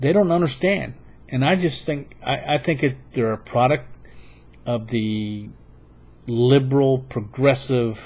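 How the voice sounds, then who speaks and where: The man's voice is medium in pitch and somewhat breathy. He speaks at a fairly slow pace with long, frequent pauses. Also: ordinary pitch variation. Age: 60s. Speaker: political video blogger. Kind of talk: political monologue. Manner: halting.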